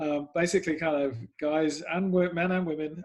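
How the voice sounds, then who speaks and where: A man with an English accent. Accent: English accent noticeable. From England. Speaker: sports club PR executive. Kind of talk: podcast interview. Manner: hesitant, many fillers.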